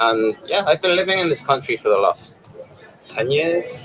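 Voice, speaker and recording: A man with a British accent talks over noticeable background noise. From England. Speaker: passerby interviewee. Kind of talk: street interview.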